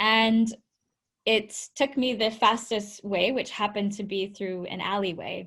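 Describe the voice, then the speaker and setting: A woman with a Canadian accent has a plain, everyday voice, speaking at a fairly high pitch and a fairly slow pace. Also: fairly even intonation. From Canada, Vancouver. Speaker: tech entrepreneur and founder. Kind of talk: webinar presentation.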